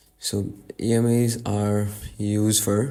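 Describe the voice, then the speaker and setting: Fairly even intonation and a dark, mellow tone come through with audible room echo. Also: man. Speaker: trading educator. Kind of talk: tutorial. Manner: halting, many fillers.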